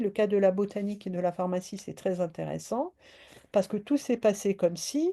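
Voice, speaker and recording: Her tone is dark and mellow. The woman's pitch shows ordinary variation. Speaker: philosopher and lecturer. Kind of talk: lecture. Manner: halting with many fillers.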